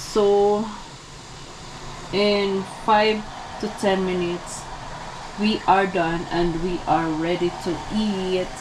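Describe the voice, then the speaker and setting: The speech comes at a very slow pace with long, frequent pauses, over noticeable background noise. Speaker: cooking vlogger. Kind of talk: casual cooking vlog. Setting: home kitchen. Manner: halting.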